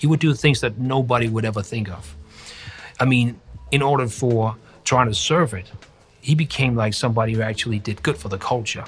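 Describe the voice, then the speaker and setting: A somewhat breathy man speaks at a fairly quick pace and a medium pitch. His pitch varies in an ordinary way, broken by long, frequent pauses. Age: 40s. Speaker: graffiti artist. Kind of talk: interview. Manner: halting.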